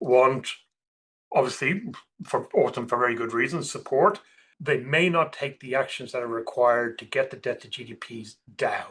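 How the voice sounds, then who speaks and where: A man speaks in a bright, sharp tone. His pitch varies in an ordinary way. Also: quiet background. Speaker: portfolio manager. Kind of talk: podcast interview.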